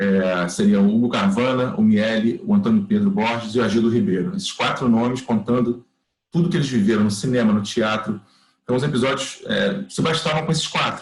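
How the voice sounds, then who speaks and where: Very wide pitch swings, a fairly quick pace and a somewhat breathy sound. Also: man, medium pitch for a man. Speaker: workshop teacher, TV producer. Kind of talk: online class lecture. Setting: video call. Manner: fast; animated.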